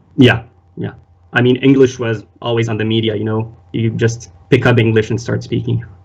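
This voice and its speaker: A man with an Arabic accent speaks at a moderate pace with vocal fry and a monotone, flat intonation. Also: medium pitch for a man. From Lebanon. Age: 20s. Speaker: polyglot, physiotherapy student. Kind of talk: casual chat.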